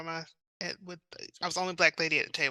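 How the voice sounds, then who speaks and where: A woman with a Southern accent and a bright, sharp tone, dry and close with no echo, over a quiet background. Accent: Southern, noticeable outside the South. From South Carolina, US South. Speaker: romance author. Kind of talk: interview.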